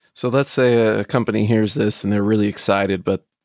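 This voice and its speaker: A man with an unremarkable speaking voice, fairly low pitch, fairly even intonation, and an American accent. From United States. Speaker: podcast host. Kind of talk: interview.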